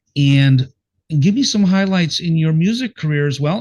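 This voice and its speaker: Somewhat breathy speech at a moderate pace with ordinary pitch variation. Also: man. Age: 60s. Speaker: podcast host and veteran rock singer. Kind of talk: casual interview. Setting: live video stream. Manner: animated.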